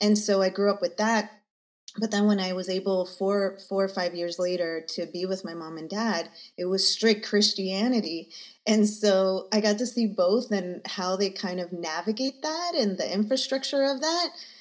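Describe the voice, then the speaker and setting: Using a plain, everyday voice, a woman talks at medium pitch with ordinary pitch variation. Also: moderate pace. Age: 40s. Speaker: energy healer. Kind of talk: casual interview chat.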